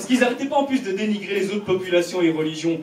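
A man speaking at a fairly quick pace, with audible room echo and light background noise. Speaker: stand-up comedian. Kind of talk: stand-up comedy routine. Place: stage.

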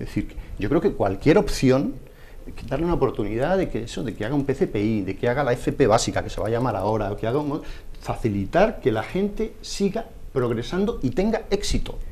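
Somewhat breathy and dark, mellow in tone, a man speaks at a fairly quick pace in a fairly high pitch with very wide pitch swings. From Spain, Puertollano; Spain. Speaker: education magazine editor; panelist. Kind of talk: televised debate. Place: studio. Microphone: lapel.

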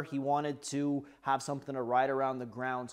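A man speaks at a moderate pace with a quiet background. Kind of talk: casual vlog chat. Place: workshop.

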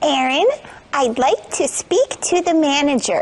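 A woman's high-pitched, put-on character voice. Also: moderate pace. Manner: disguised, put-on voice.

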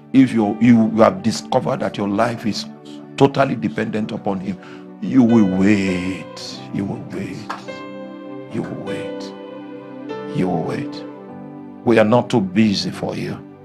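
Clear music plays behind a man with a fairly low pitch who speaks at a fairly slow pace. His loudness swings widely, and he takes long, frequent pauses. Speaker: preacher. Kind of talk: sermon. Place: hall. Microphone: handheld.

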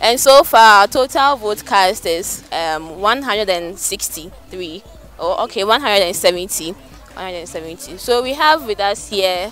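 Faint music plays in the background behind a woman's voice. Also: dry sound with no echo. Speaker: student radio reporter. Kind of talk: news report. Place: street. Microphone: handheld.

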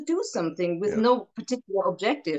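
A woman with a German accent and very wide pitch swings, against a quiet background. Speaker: actress. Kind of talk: casual chat. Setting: video call. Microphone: video call.

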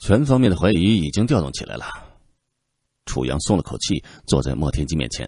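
A man talks at a fairly quick pace in a very deep, low pitch with vocal fry, a dark, mellow tone and a dramatic, calm tone. His pitch swings very widely, and he leaves long, frequent pauses. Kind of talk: literary audiobook narration. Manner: dramatic, expressive, shifting from calm narration to tense, rhetorical questioning; steady measured pacing, tone turns grave in suspenseful passages.

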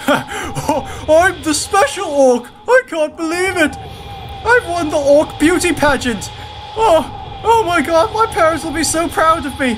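An extremely high, put-on character voice at a fairly slow pace, with clear background noise. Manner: giddy, comic overacting.

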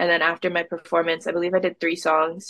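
A woman with an American accent speaks at a fairly quick pace in a fairly low pitch. The sound is dry with no echo, and the background is quiet. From Massachusetts, Boston suburbs. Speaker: singer-songwriter. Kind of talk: casual interview. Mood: animated, friendly. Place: home room. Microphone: video call.

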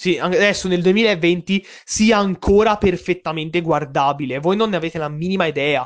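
A man speaks with a high pitch. His tone is animated, with ordinary pitch variation. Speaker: YouTube film reviewer. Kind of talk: casual video review monologue.

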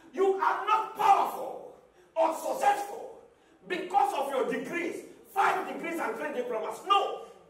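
A man shouting at an extremely high pitch, fairly slow pace, with audible room echo. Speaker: pastor. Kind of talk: sermon. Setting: church with congregation. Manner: call-and-response preaching, repeating key phrases, urging the congregation to shout back; emphatic, rhythmic, rising to exhortation and closing with fervent prayer. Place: church.

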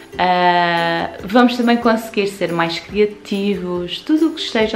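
The speaker's tone is warm and enthusiastic, at a fairly slow pace. Faint music plays in the background. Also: woman. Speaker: essential oils seller and promoter. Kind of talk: casual talk to camera, product presentation. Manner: warm, enthusiastic. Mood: warm, gentle, enthusiastic. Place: home room. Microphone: phone near.

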